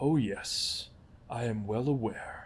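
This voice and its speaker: A put-on character voice is heard over light background noise. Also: man. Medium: read story. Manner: formal, measured.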